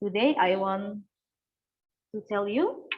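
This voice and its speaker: A woman's somewhat breathy voice at medium pitch, very slow pace, ordinary pitch variation. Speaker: student moderator. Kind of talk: event moderation.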